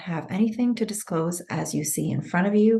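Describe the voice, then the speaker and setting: A woman with a somewhat breathy voice talks at a moderate pace, with ordinary pitch variation. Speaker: webinar moderator. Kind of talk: webinar announcements.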